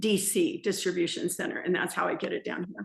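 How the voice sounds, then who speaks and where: With vocal fry in her medium-pitched voice, a woman speaks in an American accent. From Southern California. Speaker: small business owner, salsa maker. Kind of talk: interview, casual chat.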